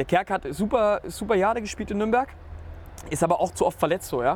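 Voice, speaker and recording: On a very clean recording with a silent background, a man with a high pitch talks at a very fast pace with lively intonation. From Nuremberg, Franconia. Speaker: football fan. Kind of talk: casual chat.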